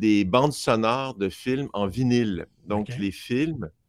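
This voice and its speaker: The sound is dry and close with no echo, on a very clean recording with a silent background. Speech comes at a very slow pace with lively intonation. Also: man. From Montreal, Quebec (Outremont). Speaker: film sound designer and mixer. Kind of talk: interview. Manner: talkative.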